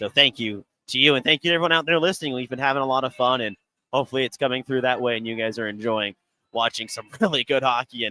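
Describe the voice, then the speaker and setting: Very fast delivery from a man, medium in pitch, the pitch varying in an ordinary way. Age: 20s. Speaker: hockey commentator. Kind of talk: live sports commentary. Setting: ice arena. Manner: well-spoken.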